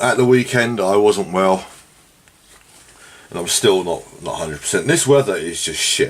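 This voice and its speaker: Moderately paced speech from a man, with noticeable background noise. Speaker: tabletop wargaming hobbyist vlogger. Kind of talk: casual monologue while painting. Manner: casual, rambling with fillers.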